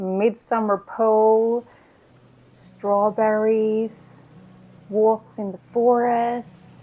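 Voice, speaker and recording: The tone is dark and mellow, delivered in a flat monotone at a very slow pace with long, frequent pauses. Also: woman, fairly high pitch for a woman. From Sweden. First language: Swedish. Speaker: small art business owner and vlogger. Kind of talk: product presentation vlog.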